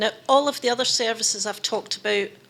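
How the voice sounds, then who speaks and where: A woman with a Scottish accent speaks in a bright, sharp tone. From Scotland. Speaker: labour dispute conciliator. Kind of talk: conference presentation.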